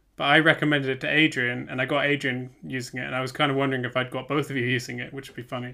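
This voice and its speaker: A man at medium pitch in a British accent, very fast paced, with monotone, flat intonation. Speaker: podcast co-host, software developer. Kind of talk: casual chat.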